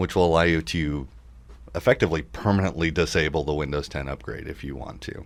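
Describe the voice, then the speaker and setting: A man speaks very fast in a very deep, low pitch, with vocal fry and ordinary pitch variation. His loudness swings widely, and the recording is very clean with a silent background. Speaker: computer repair shop owner and tech radio host. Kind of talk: casual tech talk show.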